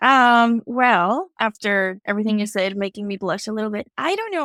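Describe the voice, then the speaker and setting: A woman speaks at a moderate pace with a Mexican accent, her pitch fairly high. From Mexico. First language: Spanish. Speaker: higher education administrator. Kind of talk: podcast interview.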